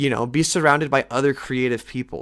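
A man talks fairly quickly at a medium pitch with ordinary pitch variation, in a plain, everyday voice. The recording is very clean, with a silent background. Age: 20s. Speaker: podcast host, aspiring film director. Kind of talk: casual solo podcast monologue. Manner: casual, filler-heavy.

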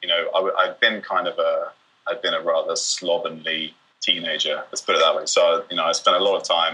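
A man with a southern English accent speaks at a fairly quick pace. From England, Bristol. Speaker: doctor. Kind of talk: casual chat.

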